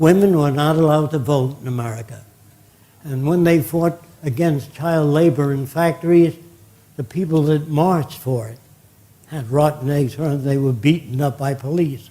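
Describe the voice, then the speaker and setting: A man's fairly high, somewhat breathy voice with a dark, mellow tone, at a moderate pace. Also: ordinary pitch variation. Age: 90s. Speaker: futurist lecturer. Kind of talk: lecture. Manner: conversational, anecdotal.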